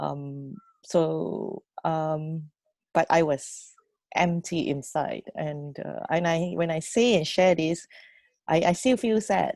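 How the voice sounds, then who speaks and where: A woman with a Fujianese accent speaks in a fairly low pitch with a dark, mellow tone. The sound is dry and close with no echo, and the recording is very clean over a silent background. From Malaysia (Penang). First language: Hokkien. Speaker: youth programme mentor. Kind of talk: personal story sharing. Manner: halting.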